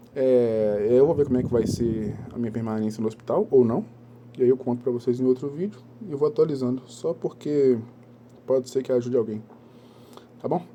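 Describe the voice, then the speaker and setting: A medium-pitched man with a dark, mellow tone, lively intonation and a fairly quick pace. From Minas Gerais, Brazil (Belo Horizonte area). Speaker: vlogger sharing injury experience. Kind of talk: casual first-person vlog. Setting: at home.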